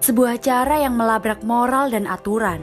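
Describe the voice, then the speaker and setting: Music plays behind a woman with a high pitch. She talks at a moderate pace. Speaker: voice-over narrator. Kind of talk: documentary narration about art.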